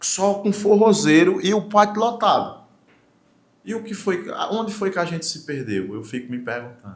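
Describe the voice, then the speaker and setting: A man's high voice, animated in tone, with lively intonation at a moderate pace. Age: 40s. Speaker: forró singer and songwriter. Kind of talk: talk show interview.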